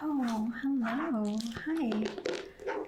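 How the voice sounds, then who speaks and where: A soft-spoken woman with a high pitch. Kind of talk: ASMR therapist roleplay, personal attention.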